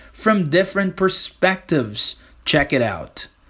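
A man with a Brazilian accent at a moderate pace, with ordinary pitch variation. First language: Portuguese. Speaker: English teacher and podcaster. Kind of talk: podcast monologue with clips. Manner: animated, casual.

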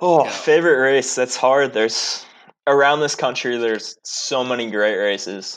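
A man with an American accent talks at a moderate pace in a plain, everyday voice, at medium pitch with ordinary pitch variation and a quiet background. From Columbus, Ohio. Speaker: former pro cyclist. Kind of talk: casual chat.

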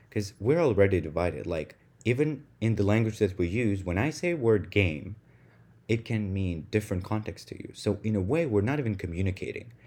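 This man speaks at a fairly quick pace with a Russian accent, his pitch fairly low and his tone dark and mellow. His intonation is lively, and the background is quiet. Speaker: podcast host. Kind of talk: solo monologue podcast. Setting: home room recording.

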